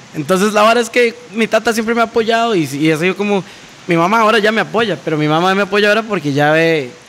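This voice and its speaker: Over noticeable background noise, a man talks at a very fast pace in a high pitch, with ordinary pitch variation and very even loudness. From Costa Rica, San Ramón. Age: 20s. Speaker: DJ and electronic music producer. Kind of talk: casual chat.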